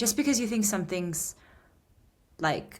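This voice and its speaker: Somewhat breathy, a woman talks at a moderate pace with ordinary pitch variation. The recording is very clean, with a silent background. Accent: American. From United States. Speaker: guitarist and musician. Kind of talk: interview conversation. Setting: podcast interview. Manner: animated.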